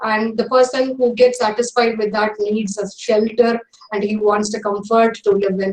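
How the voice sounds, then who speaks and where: A woman speaks at a moderate pace in a fairly high pitch, her intonation flat and monotone. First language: Tamil. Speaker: English professor. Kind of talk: lecture. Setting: online webinar. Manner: hesitant, many fillers.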